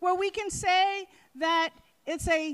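Against a quiet background, a woman is speaking. Her pitch is extremely high. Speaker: labor council president, MC. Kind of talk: welcome speech. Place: hall. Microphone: handheld.

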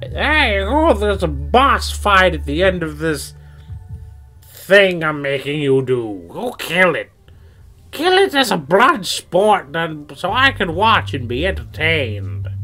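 A man performs a put-on character voice at a fairly slow pace. Faint music plays in the background. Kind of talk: comic overacting. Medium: game stream. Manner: evasive, sarcastic, dismissive; callous and amused.

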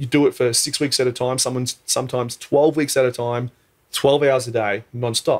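At a very fast pace, a man with an Australian accent talks in a monotone, flat intonation over a quiet background. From Australia (Queensland), born in New Zealand. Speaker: podcast guest. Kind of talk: casual chat. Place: studio. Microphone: studio mic.

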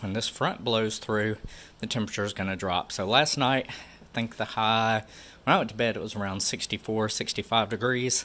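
A man's bright, sharp voice at a moderate pace, with ordinary pitch variation. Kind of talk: casual vlog chat. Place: garage. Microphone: phone near.

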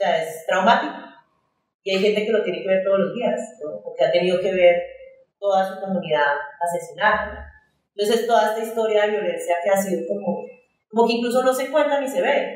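Audible room echo surrounds a woman who talks at a fairly quick pace but with long, frequent pauses. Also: medium pitch for a woman, ordinary pitch variation. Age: 40s. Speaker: performance artist. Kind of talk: artist talk. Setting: festival talk with audience.

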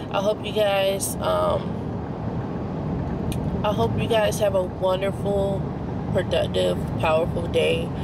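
A woman speaks at a fairly slow pace. Loud background noise sits behind her. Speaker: vlogger. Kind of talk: casual vlog chat. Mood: calm, affirming, grateful. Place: car. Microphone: phone near.

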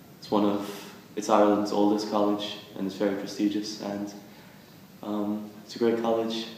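Strong room echo and light background noise accompany a voice in an American accent moving at a moderate pace. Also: man. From US, Philadelphia; Pennsylvania. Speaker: university student. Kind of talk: promotional testimonial. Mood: friendly, positive. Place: office.

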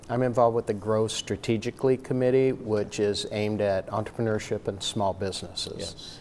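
Over light background noise, a man with an American accent uses a normal speaking voice at medium pitch, talking at a fairly quick pace with hardly any pauses and fairly even intonation. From northwest Ohio (Maumee); Ohio. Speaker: college dean; guest. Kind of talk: casual interview. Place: hall. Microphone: lapel.

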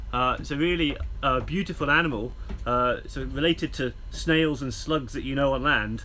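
A man speaks at a moderate pace while music sounds in the background. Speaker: presenter. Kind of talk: educational live broadcast presenting to schools. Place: boat.

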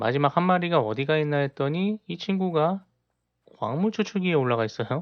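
An unremarkable speaking voice runs at a fairly quick pace with lively intonation. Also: man, fairly high pitch for a man. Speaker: gaming YouTuber. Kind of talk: gameplay commentary tutorial.

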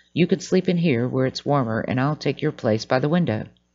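Using a put-on character voice, a man speaks at a fairly quick pace with a fairly high pitch. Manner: offering a deal.

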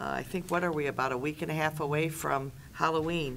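A woman's voice has a fairly low pitch and a bright, sharp tone. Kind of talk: meeting report. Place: meeting room. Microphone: podium.

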